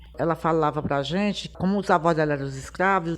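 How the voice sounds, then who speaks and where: Fairly low in pitch, this woman has an ordinary speaking voice. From Piauí, Brazil (Teresina). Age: 60s. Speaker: samba singer. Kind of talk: personal life story.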